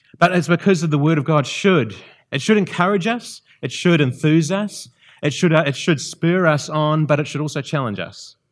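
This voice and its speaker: A man with a New Zealand accent and a fairly high pitch talks at a moderate pace with ordinary pitch variation. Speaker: visiting preacher. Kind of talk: sermon. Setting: church. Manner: halting.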